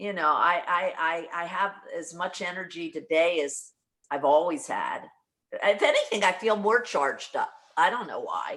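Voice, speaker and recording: Speaking at a moderate pace, a woman uses a normal speaking voice of medium pitch and ordinary pitch variation. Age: 60s. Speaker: brand partner in direct sales. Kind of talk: casual video call chat.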